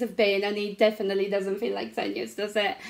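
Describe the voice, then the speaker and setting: A woman is speaking. She has a non-native accent. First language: not English. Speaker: craft product demonstrator. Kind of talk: interview, personal story.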